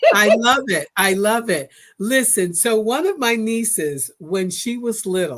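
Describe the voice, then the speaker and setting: A woman with an American accent and a normal speaking voice talks at a fairly slow pace. Her fairly high pitch comes with lively intonation. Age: 60s. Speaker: podcast host. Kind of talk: casual interview.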